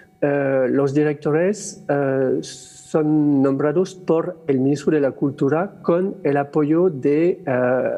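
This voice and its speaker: A man's fairly high-pitched voice with a French accent, against noticeable background noise. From France. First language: French (speaking Spanish). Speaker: theatre director. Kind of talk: panel discussion. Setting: stage with audience. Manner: halting, many fillers.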